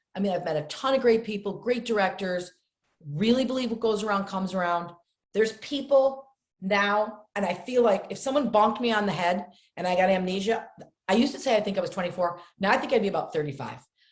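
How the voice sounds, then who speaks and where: Talking at a very fast pace, a woman with an American accent sounds animated and somewhat breathy. Her pitch is medium, with ordinary variation. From upstate New York. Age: 60s. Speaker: actress. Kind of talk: podcast interview.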